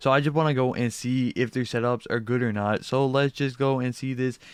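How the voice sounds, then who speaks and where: Against a quiet background, a man speaks at a medium pitch and a fairly quick pace. His intonation stays monotone and flat. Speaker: YouTuber reacting to setups. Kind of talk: casual reaction commentary. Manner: fast.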